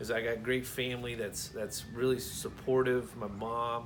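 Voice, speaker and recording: At a moderate pace, someone with an American accent speaks amid audible room echo. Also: man. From Florida (Brooksville, near Tampa). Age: 30s. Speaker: scholarship applicant, rancher and aspiring chef. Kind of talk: personal application video, speaking to camera. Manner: halting, many fillers and repeated words.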